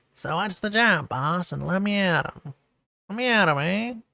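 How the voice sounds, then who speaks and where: In a very clean recording with a silent background, a female-sounding put-on character voice speaks at a medium pitch and a moderate pace. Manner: eager, fawning.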